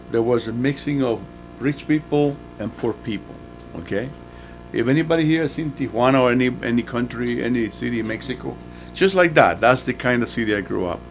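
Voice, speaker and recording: A man's medium-pitched voice with a Spanish accent and ordinary pitch variation, over noticeable background noise. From Nicaragua. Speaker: motivational guest speaker. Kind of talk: motivational talk to students.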